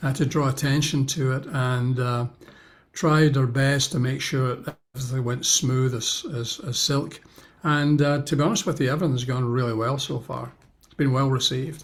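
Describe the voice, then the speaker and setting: A somewhat breathy man speaks at a medium pitch and a moderate pace. His intonation is fairly even, but his loudness swings widely. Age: 70s. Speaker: pastor and author. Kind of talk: interview answer.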